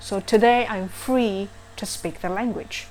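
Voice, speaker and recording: A woman is speaking. She has a non-native accent. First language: not English. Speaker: vlogger. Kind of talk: casual vlog talk. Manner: halting, many fillers.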